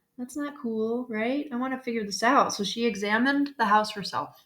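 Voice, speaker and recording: A woman talks at a moderate pace in a Chicago accent. Her pitch sits fairly high. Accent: Chicago accent, noticeable. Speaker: school counselor. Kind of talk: classroom lesson video. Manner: casual, filler-heavy (okay, right, um).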